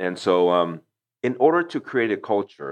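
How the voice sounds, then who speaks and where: A man talks against a quiet background. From Taiwan, moved to Houston, Texas at 8. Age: 40s. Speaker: company founder. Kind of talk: interview. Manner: halting, many repetitions.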